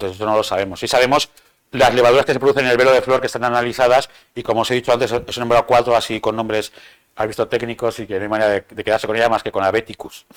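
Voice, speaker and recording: The intonation is monotone and flat. The words come at a very fast pace. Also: man, medium pitch for a man. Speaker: bartender giving a training talk. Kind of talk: lecture.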